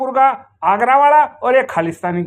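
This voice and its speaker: A man's extremely high-pitched voice. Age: 70s. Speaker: retired army veteran. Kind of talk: video complaint monologue. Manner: agitated.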